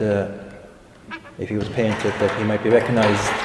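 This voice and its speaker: A man's fairly low voice at a moderate pace, with noticeable background noise and audible room echo. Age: 60s. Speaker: retired farmer. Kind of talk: oral history interview. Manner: halting.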